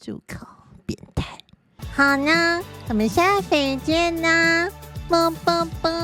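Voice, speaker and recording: Music plays in the background as a woman speaks at an extremely high pitch and a very slow pace, with ordinary pitch variation, long, frequent pauses and big swings in loudness. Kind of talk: casual vlog talk to camera. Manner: practiced feminine, soft voice.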